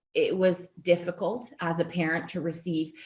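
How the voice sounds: A woman speaks in a low pitch. Her voice shows little pitch movement. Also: slightly mellow tone.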